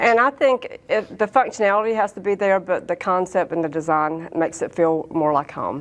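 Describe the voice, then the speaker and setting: With lively intonation and hardly any pauses, a woman at medium pitch talks at a moderate pace. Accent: Southern US. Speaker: real estate sales vice president. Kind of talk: interview answer.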